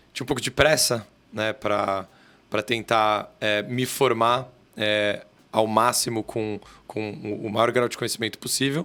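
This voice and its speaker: A man speaks with a São Paulo accent. His tone is bright and sharp. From Brazil, São Paulo city. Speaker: corporate lawyer. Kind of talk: podcast interview. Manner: halting, with many fillers.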